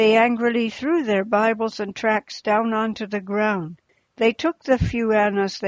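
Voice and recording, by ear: Reading aloud in a natural voice with fairly even intonation, quiet background.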